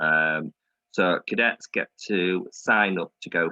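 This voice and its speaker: This is a man's voice. He has a northern English accent. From Yorkshire, northern England. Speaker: air cadet officer. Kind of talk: presentation to an online audience.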